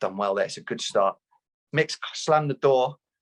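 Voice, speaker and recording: A man speaks at a fairly quick pace and a fairly high pitch, in a southeast English accent. The sound is dry and close, with no echo. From Luton, southeast England. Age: 30s. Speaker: retired footballer. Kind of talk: interview.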